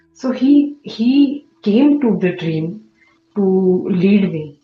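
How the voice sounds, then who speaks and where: A woman's very slow delivery with lively intonation, music in the background. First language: not English. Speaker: study circle participant. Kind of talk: testimony. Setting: video call. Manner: halting.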